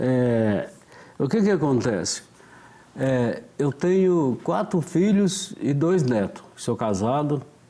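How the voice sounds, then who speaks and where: A man speaks at a very slow pace with a fairly high pitch. His loudness stays very even while his pitch swings very widely. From Minas Gerais, Brazil (Florestal). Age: 60s. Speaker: author. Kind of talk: casual interview.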